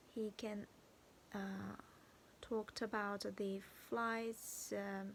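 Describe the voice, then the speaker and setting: The speaker has a Chinese accent. The pace is very slow. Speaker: vlogger. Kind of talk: video diary. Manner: halting.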